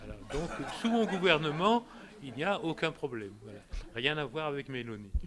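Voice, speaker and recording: A man talks at a fairly high pitch, his pitch swinging very widely. His loudness rises and falls sharply, with long, frequent pauses. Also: moderate pace. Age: 80s+. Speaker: cooperative president. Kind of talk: group discussion.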